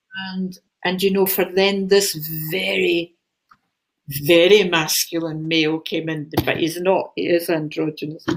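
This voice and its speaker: A woman with a Glaswegian accent, fairly low in pitch, at a fairly slow pace with fairly even intonation. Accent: Glaswegian Scottish. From Scotland, Glasgow. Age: 70s. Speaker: spiritual channeller, author. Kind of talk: casual chat.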